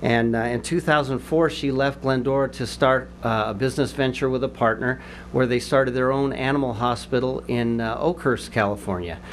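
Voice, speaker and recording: A man talks at a moderate pace with fairly even intonation and hardly any pauses, over light background noise. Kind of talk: formal introduction speech. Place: hall. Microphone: podium.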